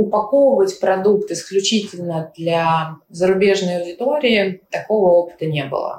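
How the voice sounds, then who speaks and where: A woman talks in an ordinary speaking voice at a medium pitch. Her pace is fairly slow, with ordinary pitch variation. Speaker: tech company CEO. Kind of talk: interview.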